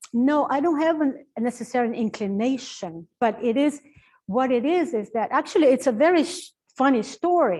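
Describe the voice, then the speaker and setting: A woman with a high pitch speaks with lively intonation over a quiet background. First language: Portuguese. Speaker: professor and translator. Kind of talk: Q&A talk at book launch. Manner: halting, with fillers and restarts.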